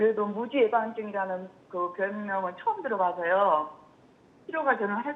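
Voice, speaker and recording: Her pitch sits at a medium level and varies in an ordinary way. The woman keeps a moderate pace. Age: 60s. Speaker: caller, hairdresser. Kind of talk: phone-in question. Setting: phone call. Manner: halting.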